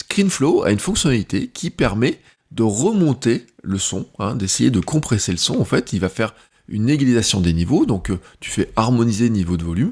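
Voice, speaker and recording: His pitch swings very widely around a medium level. The man keeps a moderate pace. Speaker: content creator and podcaster. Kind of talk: tutorial. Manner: loud at first then quieter; casual, hesitant with fillers.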